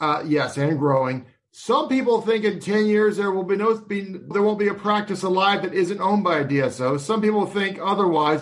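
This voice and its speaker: A man's high-pitched voice with lively intonation, at a moderate pace and with hardly any pauses. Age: 40s. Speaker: financial advisor podcast host. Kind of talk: interview.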